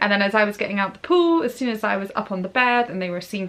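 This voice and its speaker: Over noticeable background noise, a woman talks at a very fast pace. Her pitch is medium, with ordinary variation. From Scotland, grew up abroad. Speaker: parenting vlogger. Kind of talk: casual talk to camera.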